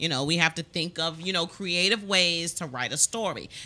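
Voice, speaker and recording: A woman's fairly low, bright, sharp voice with an American accent. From Maryland. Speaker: talk show host. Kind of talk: casual interview. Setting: studio. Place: studio. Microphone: studio mic.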